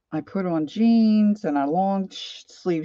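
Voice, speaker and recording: A woman with a Philadelphia accent and a dark, mellow tone, dry sound with no echo, light background noise. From Philadelphia area, US. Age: 60s. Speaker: craft and art livestreamer; art livestreamer. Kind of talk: casual live-stream chat while crafting.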